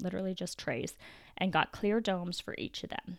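A woman with a medium pitch and fairly even intonation speaks in an ordinary speaking voice, on a very clean recording with a silent background. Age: 30s. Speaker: podcast host, homemaker and gardener. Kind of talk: casual solo talk and tutorial. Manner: casual, with frequent fillers.

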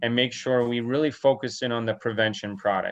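A man's plain, everyday voice, medium in pitch, with fairly even intonation at a moderate pace. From New Brunswick, Canada. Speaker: veterinarian and dairy farmer. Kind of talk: interview.

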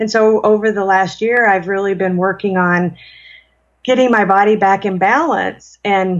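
A woman speaks in a normal speaking voice at a moderate pace, her pitch medium. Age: 40s. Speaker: spiritual mentor and author. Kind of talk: interview.

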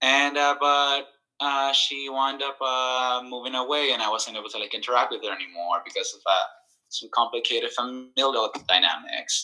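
Fairly high in pitch, a man speaks in a bright, sharp tone with fairly even intonation. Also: moderate pace. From El Salvador. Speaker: nurse. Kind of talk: casual chat. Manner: halting, many fillers.

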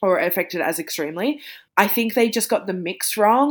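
Someone speaks with an Australian accent and lively intonation. The recording is very clean, with a silent background. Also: woman. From regional Victoria, Australia. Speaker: podcaster and author. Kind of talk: casual chat.

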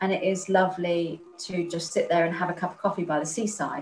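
A woman talks at a moderate pace in a fairly low, somewhat breathy voice. Her intonation stays fairly even. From Spain. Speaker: author. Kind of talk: interview.

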